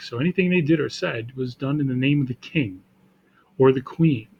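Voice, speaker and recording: A man talks at a fairly quick pace in a plain, everyday voice. His pitch is medium, with ordinary pitch variation. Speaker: teacher. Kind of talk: classroom lecture, casual talk to camera.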